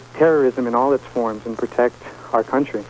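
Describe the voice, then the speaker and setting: Very fast speech in an American accent comes with fairly even intonation and noticeable background noise. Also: man. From New York. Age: 30s. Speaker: radio caller. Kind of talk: call-in radio talk.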